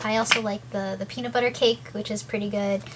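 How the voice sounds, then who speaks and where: Against noticeable background noise, a woman talks at a fairly quick pace. Her medium pitch swings very widely. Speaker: video blogger with ulcerative colitis. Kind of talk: casual vlog talk to camera. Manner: fast.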